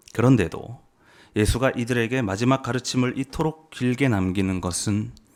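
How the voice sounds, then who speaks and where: A man uses a normal speaking voice at a fairly slow pace, with ordinary pitch variation. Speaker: preacher. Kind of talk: sermon.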